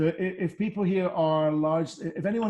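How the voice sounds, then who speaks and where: Dark and mellow in tone, this man's voice sits at a fairly high pitch. He moves at a fairly quick pace with fairly even intonation. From Scotland, Edinburgh. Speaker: whisky brand ambassador. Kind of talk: virtual tasting presentation.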